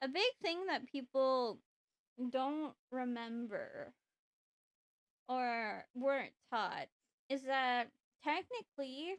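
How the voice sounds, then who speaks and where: A woman speaks very slowly in a high voice with ordinary pitch variation, leaving long, frequent pauses, and the sound is dry and close with no echo. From British Columbia, Canada. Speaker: voice actor. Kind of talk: casual livestream talk to chat.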